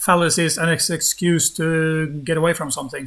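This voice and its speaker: Fairly even in intonation, a man with a Norwegian accent speaks in a high pitch. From Norway. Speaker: YouTuber debunking flat earth. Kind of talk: live-streamed debate. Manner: calm; halting, hesitant.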